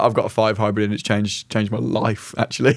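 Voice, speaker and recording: With a British accent, a man rattles off his words at a very fast pace. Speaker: podcast co-host. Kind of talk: casual chat.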